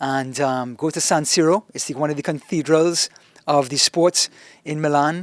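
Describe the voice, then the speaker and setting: Here a man speaks in a fairly high voice with a strong Trinidadian accent. The recording is very clean and dry, with a silent background and no echo. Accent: thick Trinidadian. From Trinidad and Tobago. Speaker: soccer commentator. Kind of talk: casual interview chat. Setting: studio podcast, sitting across a table. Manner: tends to chew his words; animated.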